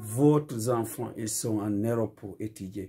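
Speaking at a very slow pace, the man has a fairly low pitch and a dark, mellow tone that is somewhat breathy. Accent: West African. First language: Fula (Pular) (speaking French). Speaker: community speaker; speaker. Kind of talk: video monologue appeal. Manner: impassioned. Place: home room. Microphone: phone near.

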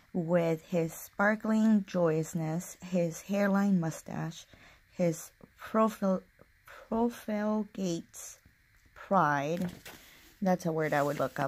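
A woman with a strong Spanish accent speaks at a very slow pace in a fairly low voice, with ordinary pitch variation and long, frequent pauses. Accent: thick Spanish-accented English. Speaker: book vlogger. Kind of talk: casual vlog with reading aloud. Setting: home alone, recording video. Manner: halting. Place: home room. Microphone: phone near.

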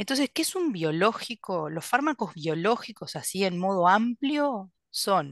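A woman with a Uruguayan accent at a fairly slow pace, her pitch swinging very widely, in a dry sound with no echo over a quiet background. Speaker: gastroenterologist; presenter. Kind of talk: lecture. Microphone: video call.

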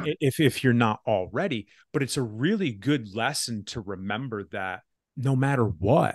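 A man with a normal speaking voice and medium pitch talks at a moderate pace with lively intonation, the sound dry and close with no echo over a quiet background. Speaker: podcast host. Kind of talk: casual podcast conversation.

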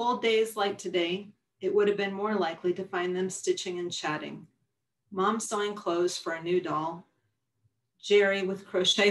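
A woman is heard. Little sound comes from behind her, as the background is quiet. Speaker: publisher and poet. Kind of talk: poetry reading, performing her own poems aloud. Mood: calm, warm, reflective. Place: home room. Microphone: webcam.

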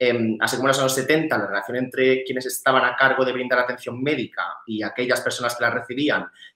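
A man talks at a very fast pace with fairly even intonation. The background is quiet, though room echo is audible. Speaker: researcher; conference presenter. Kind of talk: conference presentation. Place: home room. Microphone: webcam.

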